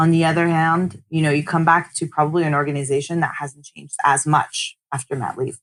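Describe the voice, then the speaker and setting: Her voice sits very deep and low for a woman, with a North American accent and fairly even intonation. She talks at a fairly quick pace with hardly any pauses, and her loudness swings widely. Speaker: tech start-up co-founder. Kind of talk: podcast interview.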